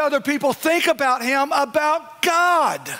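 Speaking in a raised, projected voice with an American accent, a man talks at a fairly slow pace and an extremely high pitch. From East Texas. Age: 40s. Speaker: pastor. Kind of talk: sermon. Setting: church with live congregation. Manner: animated. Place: church.

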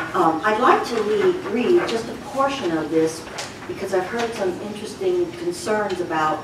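Noticeable background noise and audible room echo surround speech at a moderate pace with ordinary pitch variation. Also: woman. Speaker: retired resident giving public comment. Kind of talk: prepared public comment. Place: meeting room.

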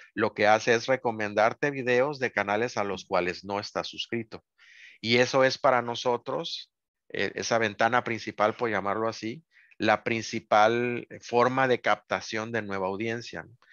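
A man's medium-pitched voice at a fairly slow pace with fairly even intonation, dry with no echo over a quiet background. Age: 50s. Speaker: toy review YouTuber. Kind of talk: casual chat. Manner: serious. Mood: relaxed, reflective. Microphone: video call.

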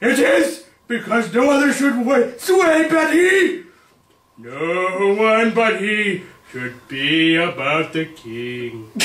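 Very slowly, a man speaks in a put-on character voice at a high pitch. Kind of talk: overacted Shakespeare reading. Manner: defiant, rising to outrage.

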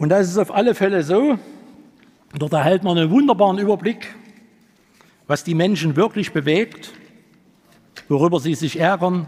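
A man with a high pitch talks at a moderate pace, showing ordinary pitch variation. He leaves long, frequent pauses. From eastern Germany, Leipzig; eastern Germany. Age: 60s. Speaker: party candidate, taxi driver; candidate. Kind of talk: candidate speech. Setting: hall with audience. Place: hall. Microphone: podium.

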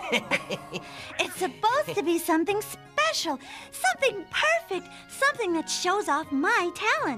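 Clear music plays behind a female-sounding cartoonish character voice that is extremely high in pitch and moves at a moderate pace. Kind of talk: children's puppet show. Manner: cheerful, enthusiastic, a bit boastful.

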